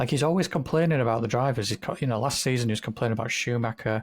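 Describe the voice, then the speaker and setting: Speaking at a very fast pace, a man with a British accent sounds somewhat breathy, his pitch varying in an ordinary way on a very clean recording with a silent background. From Britain. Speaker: podcast co-host. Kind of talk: casual chat.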